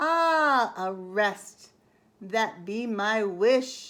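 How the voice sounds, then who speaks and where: A woman performs a put-on character voice. It is fairly high-pitched with lively intonation. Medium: read story.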